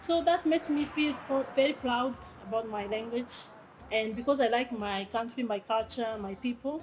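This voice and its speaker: Speaking at a moderate pace, a woman has a high pitch. Her pitch varies in an ordinary way. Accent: Rwandan. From Rwanda. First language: Kinyarwanda. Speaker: language teacher and translator. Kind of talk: interview. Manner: halting, with many fillers.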